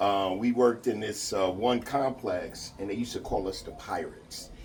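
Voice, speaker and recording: Audible room echo around a moderately paced man in an American accent. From New York. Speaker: mourner giving eulogy, construction worker. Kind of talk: eulogy speech. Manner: loud. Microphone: speaking without a microphone.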